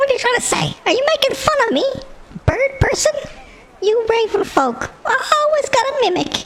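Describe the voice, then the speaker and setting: The pitch sits extremely high in this put-on character voice. Its pace is moderate. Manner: indignant, suspicious.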